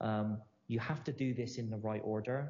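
At a medium pitch and a moderate pace, a man talks in a somewhat breathy way with fairly even intonation. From Bristol, England. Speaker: entrepreneur, company founder. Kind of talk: interview.

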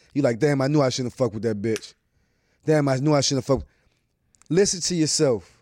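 At a fairly quick pace broken by long, frequent pauses, a man with a DC area accent speaks at a medium pitch in a dark, mellow tone with ordinary pitch variation. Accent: DC area urban American English. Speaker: podcast host. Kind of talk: casual podcast interview, profane.

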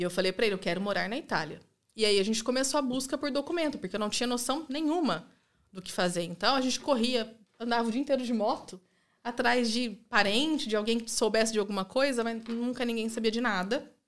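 The woman's pitch shifts in an ordinary way. She speaks very fast. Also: fairly high pitch for a woman. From interior of São Paulo state, Brazil (Rio Claro). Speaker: immigrant mother. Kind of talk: casual chat.

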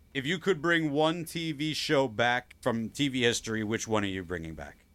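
Bright and sharp in tone, a man with a Long Island accent speaks at a medium pitch and moderate pace with lively intonation on a very clean recording with a silent background. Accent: Long Island New York. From US Northeast, Long Island, New York. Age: 40s. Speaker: podcast host. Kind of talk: casual chat.

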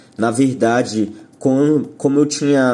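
Medium pitch from a man at a fairly slow pace, with noticeable background noise. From Brazil, São Paulo city. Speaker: rock musician. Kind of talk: interview.

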